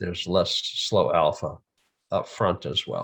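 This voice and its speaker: This man talks in an American accent. He goes along at a very slow pace. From USA. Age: 70s. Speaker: EEG specialist. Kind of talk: conference presentation.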